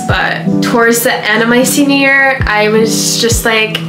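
A woman speaks at a moderate pace while clear music sounds behind her. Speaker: vlogger. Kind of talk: casual advice vlog. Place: home room. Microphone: camera far.

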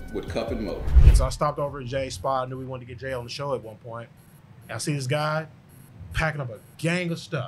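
Very fast male speech amid noticeable background noise. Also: ordinary pitch variation. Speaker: podcast host. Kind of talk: casual interview. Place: studio. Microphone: studio mic.

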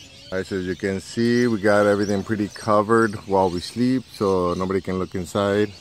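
A man talks at a moderate pace with fairly even intonation over light background noise. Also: dry sound with no echo. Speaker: family travel vlogger. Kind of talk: casual vlog chat. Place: garden. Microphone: phone near.

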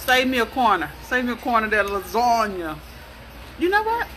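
Over music in the background, a woman talks at a moderate pace in a high pitch. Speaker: food vlogger. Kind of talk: casual vlog chat. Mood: relaxed, enjoying food. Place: cafe. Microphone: phone near.

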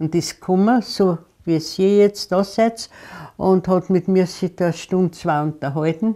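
Against a quiet background, a woman speaks at a fairly low pitch with a dark, mellow tone. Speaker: resistance fighter and concentration camp survivor. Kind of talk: interview answer. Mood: calm, reflective storytelling. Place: home room. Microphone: lapel.

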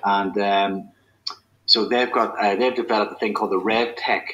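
A man's fairly low voice carries a slightly husky edge.

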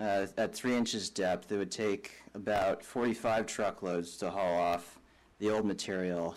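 Fairly low-pitched, a man speaks at a very slow pace. His intonation stays fairly even. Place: hall.

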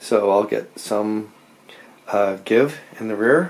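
The delivery is very slow, with fairly even intonation. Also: man. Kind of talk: casual vlog chat. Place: garage. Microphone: phone near.

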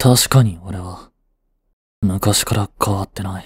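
A man's slow, low-pitched, put-on character voice with a husky, rough edge and ordinary pitch variation

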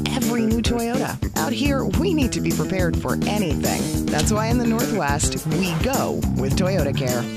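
A woman's voice, dry with no echo, over loud background music. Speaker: voice actor. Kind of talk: TV commercial read. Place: booth.

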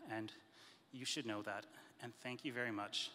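Light background noise sits behind a man's bright, sharp tone. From Canada. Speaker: lawyer. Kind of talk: presentation. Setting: stage with audience. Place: hall. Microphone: handheld.

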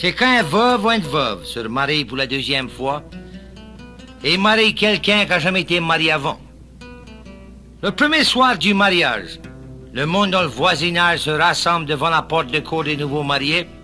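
High-pitched male speech with a Cajun accent, lively intonation and a moderate pace, broken by long, frequent pauses, with music in the background. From Louisiana. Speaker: storyteller. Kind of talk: humorous folk tale telling.

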